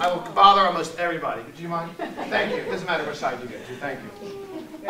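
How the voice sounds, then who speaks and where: Audible room echo and noticeable background noise surround a man who talks with an American accent. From US Northeast, Southwest Philadelphia. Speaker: market researcher and former history teacher. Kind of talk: presentation to an audience. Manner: loud; animated.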